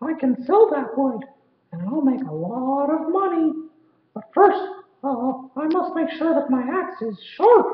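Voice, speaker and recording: A man puts on a character voice at an extremely high pitch. He goes at a fairly slow pace, with a slight echo. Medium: read story. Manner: bright, earnest.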